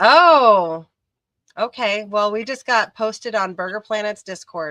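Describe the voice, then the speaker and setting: At a fairly slow pace, a woman speaks with lively intonation. Her pitch is fairly high. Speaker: livestream host, ceramics hobbyist. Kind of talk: casual chat. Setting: live stream.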